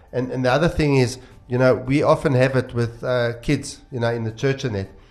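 Music in the background behind a man at a medium pitch, fairly even intonation and a fairly quick pace. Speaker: pastor. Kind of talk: casual chat. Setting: studio.

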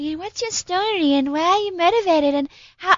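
This squeaky, put-on character voice sits at an extremely high pitch and runs at a fairly quick pace. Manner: uncertain, unsure.

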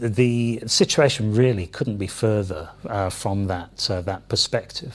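His voice has a somewhat breathy quality. This man talks at a medium pitch. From London, England. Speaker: company CEO. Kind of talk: interview. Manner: hesitant, many fillers.

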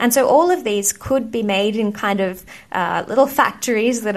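A woman with an Australian accent speaks at a moderate pace. Her pitch is fairly high, with ordinary variation. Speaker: astronaut. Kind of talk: interview.

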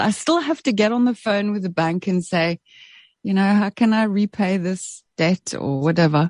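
Speaking at a fairly slow pace, a woman has a South African accent. The background is quiet. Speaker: radio presenter and author. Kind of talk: interview.

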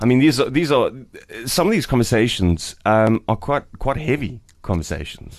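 A man speaks with lively intonation and vocal fry. His loudness stays very even. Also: medium pitch for a man, moderate pace. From South Africa, Eastern Cape. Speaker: radio host. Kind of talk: breakfast radio chat. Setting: radio studio.

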